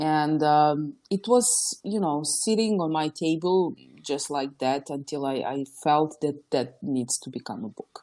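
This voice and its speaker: A woman speaks at a fairly slow pace in a very deep, low voice with a dark, mellow tone and lively intonation, against a quiet background. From former Yugoslavia. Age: 20s. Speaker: entrepreneur and author. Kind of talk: podcast interview.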